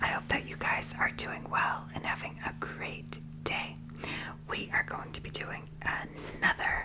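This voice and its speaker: Whispered words come at a fairly slow pace amid noticeable background noise. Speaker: ASMR mukbang creator. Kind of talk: ASMR food review talk to camera. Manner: whispered, soft-spoken.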